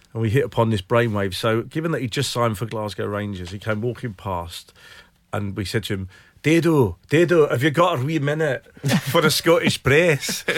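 In a Welsh accent, a man talks at a moderate pace and medium pitch with lively intonation, on a very clean recording with a silent background. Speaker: football journalist. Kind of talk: casual chat.

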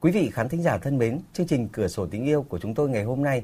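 A man speaks with lively intonation in a dark, mellow tone. His voice is somewhat breathy. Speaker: radio call-in show host. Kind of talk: live radio call-in program. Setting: radio studio. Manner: formal.

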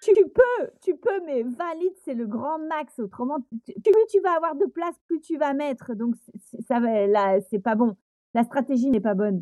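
Fairly slowly, a woman speaks in a high, dark, mellow voice with very wide pitch swings and a dry, close sound with no echo. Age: 40s. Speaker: flight attendant and amateur trail runner. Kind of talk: casual interview.

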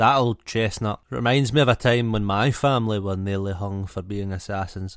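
A man's fairly low voice at a moderate pace, with ordinary pitch variation and a plain, everyday voice. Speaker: podcast host. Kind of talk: casual banter chat. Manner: joking, swearing, playful.

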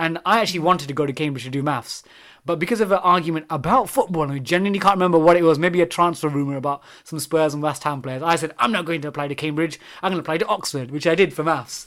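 A man with a London accent talks very fast at a fairly high pitch with ordinary pitch variation. The recording is very clean with a silent background. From London, England. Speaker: maths teacher. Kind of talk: casual chat.

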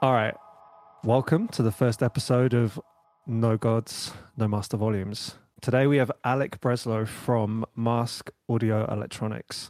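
A man with an ordinary speaking voice talks at a fairly slow pace, his pitch medium and his intonation fairly even. His loudness stays very even, and the sound is dry and close with no echo. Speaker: podcast host and record producer. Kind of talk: casual podcast chat.

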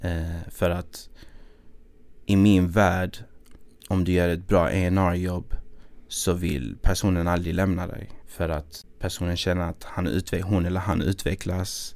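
Very slowly and with long, frequent pauses, a man speaks in a monotone, flat intonation at a very deep, low pitch. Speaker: music industry A&R, producer and songwriter. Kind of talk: podcast interview.

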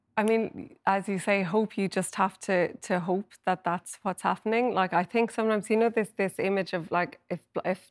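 A woman with an Irish accent, fairly even intonation, and a dry, close sound with no echo on a very clean recording against a silent background. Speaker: health correspondent. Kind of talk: TV panel discussion. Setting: studio.

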